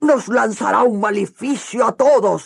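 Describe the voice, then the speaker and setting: A loud, growling put-on character voice, fairly high-pitched, at a fairly slow pace. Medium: read story. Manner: loud, exclaiming.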